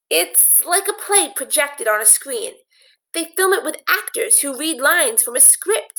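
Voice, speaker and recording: A woman's put-on character voice, extremely high-pitched with very wide pitch swings, at a moderate pace. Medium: read story.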